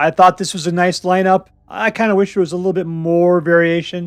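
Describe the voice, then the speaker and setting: The speaker is a man with a high-pitched voice. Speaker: gaming YouTuber. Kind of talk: casual commentary. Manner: casual, conversational.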